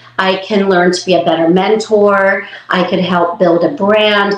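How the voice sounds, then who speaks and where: Noticeable background noise sits behind a woman's medium-pitched voice. She talks at a very slow pace. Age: 60s. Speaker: hairstylist. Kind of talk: interview.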